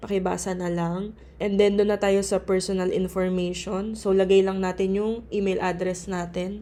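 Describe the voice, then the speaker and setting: A woman's voice at a medium pitch. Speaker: pharmacist and tutorial channel host. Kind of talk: tutorial. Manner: casual, polite.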